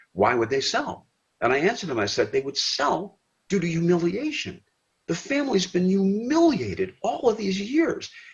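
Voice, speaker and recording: A man with a Michigan accent speaks at a moderate pace. His high voice moves in very wide pitch swings. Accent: US Midwest, Michigan. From Detroit, Michigan. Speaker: retired sportscaster. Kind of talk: casual chat.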